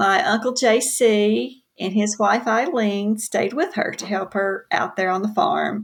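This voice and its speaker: A woman with a Southern US accent speaks at a very slow pace with hardly any pauses, her fairly high voice carrying lively intonation. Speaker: author. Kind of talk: casual interview chat.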